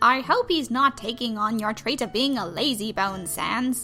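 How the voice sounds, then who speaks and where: Against clear music in the background, a female-sounding voice does a put-on character voice at a fairly high pitch and a moderate pace. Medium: fan dub. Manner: loud, boastful.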